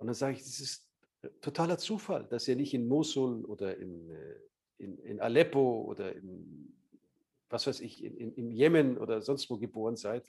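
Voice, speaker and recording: At a moderate pace, a man with a medium-pitched, dark, mellow voice uses lively intonation, big swings in loudness, and long, frequent pauses. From Bavaria, Munich. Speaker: journalist and Middle East correspondent. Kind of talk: interview.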